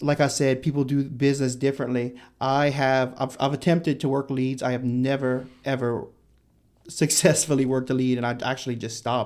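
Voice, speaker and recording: A man with a medium pitch talks at a fairly quick pace in a monotone, flat intonation. The recording is very clean and the background silent. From Louisiana. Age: 20s. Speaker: real estate agent. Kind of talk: interview answer. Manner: outgoing, funny.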